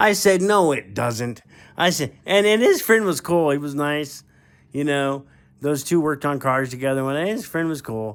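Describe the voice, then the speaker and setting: At a moderate pace, an unremarkable speaking voice is heard in a very clean recording with a silent background. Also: man, fairly high pitch for a man. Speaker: ham radio operator. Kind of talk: casual storytelling to camera. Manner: rambling, conversational.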